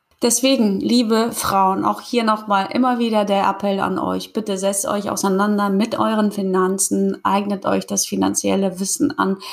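Noticeable background noise runs behind a woman's voice. She talks with hardly any pauses and very even loudness. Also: moderate pace. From Kazakhstan. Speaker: podcast host. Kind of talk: casual interview chat.

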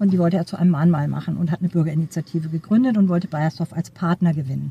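A woman speaks in a somewhat breathy voice, with a dry, close sound and no echo. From Schleswig-Holstein, Neumünster. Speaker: supervisory board member and professor. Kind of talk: interview. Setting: outdoors at a conference.

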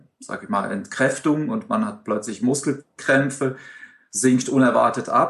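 An unremarkable speaking voice from a man, medium in pitch, with ordinary pitch variation and a fairly slow pace. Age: 40s. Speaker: amateur open-water swimmer. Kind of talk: interview.

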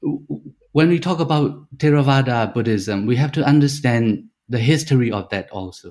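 A man with a Shan State accent speaks at a moderate pace and medium pitch, with ordinary pitch variation and hardly any pauses. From Myanmar, Shan State. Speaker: PhD researcher. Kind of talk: interview discussion. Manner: halting, repeats words.

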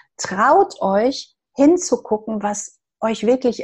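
Her voice has a somewhat breathy quality. The woman's pitch variation is ordinary. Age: 50s. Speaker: hairdresser and energy therapist. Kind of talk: interview.

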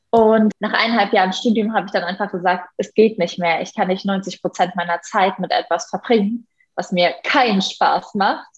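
A woman's somewhat breathy voice comes at a moderate pace, with a medium pitch and fairly even intonation. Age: 20s. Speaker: animal welfare activist and primatologist. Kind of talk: podcast interview.

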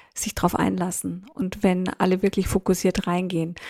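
In a very clean recording with a silent background, a woman speaks at a moderate pace in a monotone, flat intonation. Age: 50s. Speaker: leadership consultant and author. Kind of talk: podcast interview.

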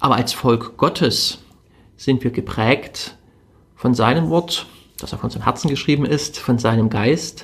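Somewhat breathy and fairly slow, a man at medium pitch speaks with ordinary pitch variation and long, frequent pauses. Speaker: religious podcast host. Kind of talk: spiritual reflection.

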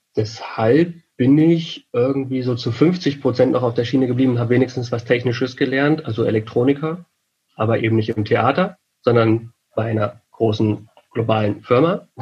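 A man speaks at medium pitch with ordinary pitch variation. His voice is somewhat breathy, at a moderate pace. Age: 30s. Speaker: event technician and lecturer. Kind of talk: interview.

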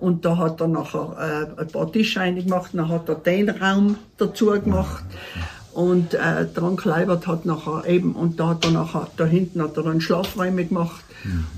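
Noticeable background noise accompanies a woman speaking at a moderate pace. Her fairly low-pitched voice keeps a fairly even intonation. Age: 70s. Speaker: mountain hut keeper. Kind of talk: casual interview. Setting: mountain hut.

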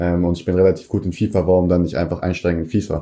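A dark, mellow tone at a very fast pace over a quiet background. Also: man. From Germany. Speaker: professional esports player. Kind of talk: casual interview. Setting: at home.

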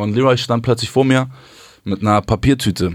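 This is a man's voice. The pitch shows ordinary variation. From southern Hamburg, Germany. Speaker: music manager. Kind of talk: interview. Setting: studio.

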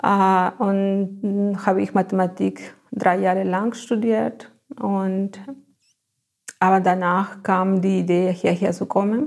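A woman with a Spanish accent talks at a very slow pace. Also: medium pitch for a woman, fairly even intonation. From Peru, Ayacucho (Andes). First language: Spanish (speaking German). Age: 40s. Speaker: biotechnology lab technician. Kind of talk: interview. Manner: halting.

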